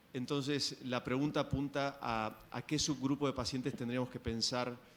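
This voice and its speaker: With an Argentine accent, a man talks very fast at a medium pitch in a monotone, flat intonation. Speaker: physician asking question. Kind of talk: audience question at medical symposium.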